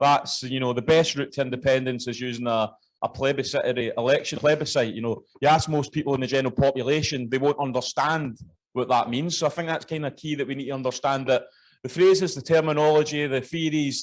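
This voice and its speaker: Speaking very fast, a man with a Scottish accent uses a fairly high pitch. His intonation stays fairly even. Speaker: party official. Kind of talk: political speech. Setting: conference hall with audience.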